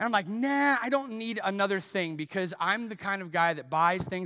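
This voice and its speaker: Raising and projecting his voice, a man speaks with lively intonation and a bright, sharp tone, recorded very cleanly against a silent background. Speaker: pastor. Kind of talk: sermon; pitchman parody, infomercial-style mimicry. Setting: church. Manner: animated, playful, comedic timing; conversational, self-deprecating.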